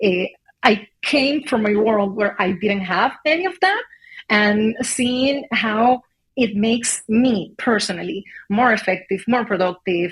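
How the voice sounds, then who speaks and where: A woman with a non-native accent speaks at medium pitch with ordinary pitch variation. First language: not English. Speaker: HR executive. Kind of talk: interview. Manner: halting, many fillers.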